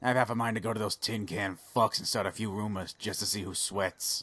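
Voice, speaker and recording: A man speaks at a fairly quick pace with a fairly low pitch, on a very clean recording with a silent background. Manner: grumpy, sarcastic, profane but friendly.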